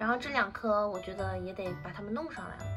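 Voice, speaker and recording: A woman speaks with music in the background. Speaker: home gardener. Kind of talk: casual home vlog talk to camera.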